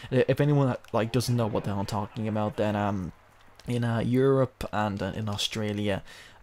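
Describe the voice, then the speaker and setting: A man with a British accent speaks quietly at a fairly low pitch. He keeps a moderate pace and fairly even intonation. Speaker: gaming video creator. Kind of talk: let's play commentary. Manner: hushed, low-key; halting, filler-heavy.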